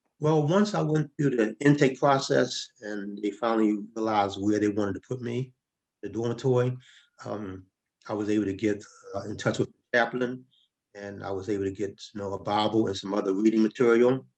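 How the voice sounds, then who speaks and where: This man has an ordinary speaking voice, fairly low in pitch, moving at a fairly quick pace with ordinary pitch variation. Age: 60s. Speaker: former prisoner, retired government finance worker. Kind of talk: interview.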